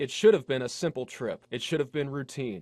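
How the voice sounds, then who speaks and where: This is a man with a normal speaking voice, pitched fairly high. His pitch varies in an ordinary way against a quiet background. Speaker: television news reporter. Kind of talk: broadcast news reporting, on-scene and voiceover.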